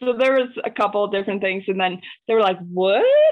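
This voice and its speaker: A woman talks in a normal speaking voice. Her pitch is fairly high, with ordinary variation. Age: 30s. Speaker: maker and small business owner. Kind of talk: casual chat.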